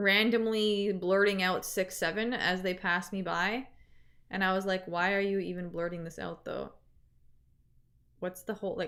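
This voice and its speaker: Speaking with a Canadian accent, a woman uses a medium pitch and a monotone, flat intonation at a moderate pace. She leaves long, frequent pauses, and the recording is very clean with a silent background. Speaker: streamer. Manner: casual, rambling.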